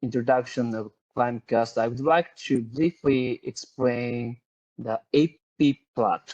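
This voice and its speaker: In a Japanese accent, a man at medium pitch talks at a very slow pace, recorded dry and close with no echo. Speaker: climate researcher. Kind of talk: webinar presentation. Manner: halting, many fillers.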